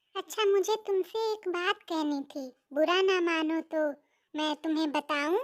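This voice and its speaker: A woman puts on a squeaky, cartoonish character voice at an extremely high pitch, speaking at a fairly slow pace in a dry, close sound with no echo. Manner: earnest, eager.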